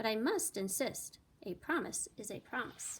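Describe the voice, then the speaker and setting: A woman uses a put-on character voice with a fairly high pitch and very wide pitch swings. Her pace is moderate. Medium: read story. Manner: booming, friendly.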